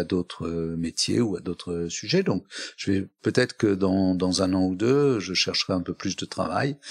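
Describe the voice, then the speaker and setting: Very deep and low, a man's voice comes through dry and close with no echo in a very clean recording with a silent background. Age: 70s. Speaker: company chairman. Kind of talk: interview. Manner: hesitant, many fillers.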